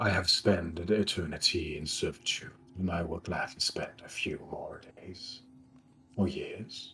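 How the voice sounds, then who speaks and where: This man puts on a character voice with a very deep, low pitch. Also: moderate pace. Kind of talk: solemn prophetic fantasy voice. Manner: grave, cryptic, resigned.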